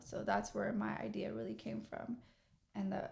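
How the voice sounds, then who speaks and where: A woman speaks at a moderate pace in a Midwestern accent. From Kansas City, Missouri, US Midwest. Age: 30s. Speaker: entrepreneur and day trader. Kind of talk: casual interview chat.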